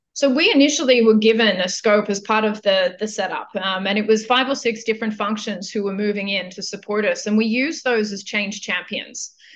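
In an Australian accent, the speaker goes at a fairly quick pace with hardly any pauses and ordinary pitch variation. Noticeable background noise is present. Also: woman, fairly high pitch for a woman. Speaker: global business services executive. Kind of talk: interview.

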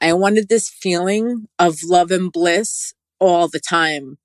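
This woman has a New York accent and medium pitch. The sound is dry and close, with no echo. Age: 40s. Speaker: spiritual practitioner, toe reader. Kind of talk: interview, personal testimony.

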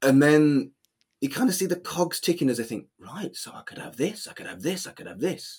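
Fairly high-pitched male voice with vocal fry and lively intonation, fairly quick, in a Manchester accent. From England. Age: 40s. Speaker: humanist celebrant. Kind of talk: casual chat.

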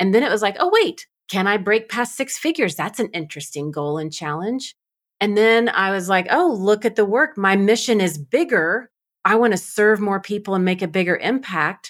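In a normal speaking voice with lively intonation, a woman talks at a moderate pace and medium pitch on a very clean recording with a silent background. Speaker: podcast host and coach. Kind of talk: interview conversation.

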